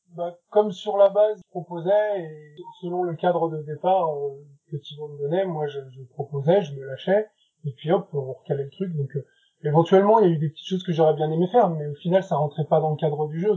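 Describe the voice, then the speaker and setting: Speaking at a moderate pace, a man has a fairly high pitch with ordinary pitch variation. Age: 40s. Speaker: illustrator. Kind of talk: interview. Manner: halting.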